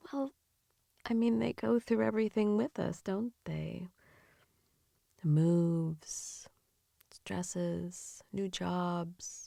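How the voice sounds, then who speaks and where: With a gentle, soothing, dark and mellow tone, a woman speaks at a very slow pace with long, frequent pauses and very wide pitch swings, in a dry, close sound with no echo. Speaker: ASMR / comfort and sleep-aid creator. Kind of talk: comforting ASMR improv for grieving pet owners. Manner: soft, gentle, soothing, empathetic.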